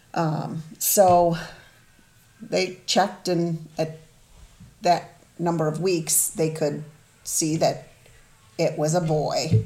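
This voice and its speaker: A woman's somewhat breathy, dark, mellow voice, fairly low in pitch, monotone and flat, very slow, with long, frequent pauses. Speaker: mother of the hosts, guest. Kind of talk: personal testimony, emotional interview. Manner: open, vulnerable.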